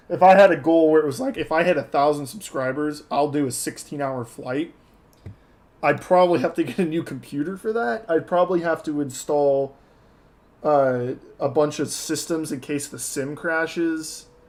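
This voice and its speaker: In an American accent, a man with an unremarkable speaking voice talks at a moderate pace, his fairly high pitch showing ordinary variation. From Texas. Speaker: flight sim streamer. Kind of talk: live stream commentary. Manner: casual, conversational.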